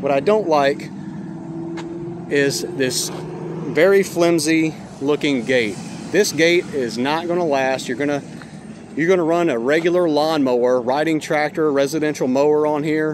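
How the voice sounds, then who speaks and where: This man speaks at a fairly slow pace with ordinary pitch variation. The sound is dry with no echo, and there is noticeable background noise. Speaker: trailer repair person reviewing. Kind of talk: casual product review. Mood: critical, mildly animated. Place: street. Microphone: phone near.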